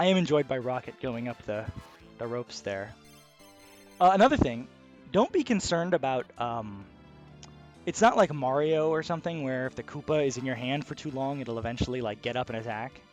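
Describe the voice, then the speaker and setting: A man talks at a fairly quick pace but leaves long, frequent pauses. His medium pitch shows ordinary variation, with music in the background. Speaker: gaming video host. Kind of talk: casual gameplay commentary. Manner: quiet, soft-spoken; calm, relaxed.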